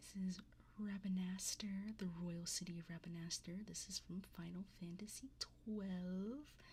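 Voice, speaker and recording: Very slow in pace, a woman speaks at a medium pitch. Her tone is dark and mellow and somewhat breathy. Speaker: vtuber, livestreamer. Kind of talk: casual livestream talk about card opening.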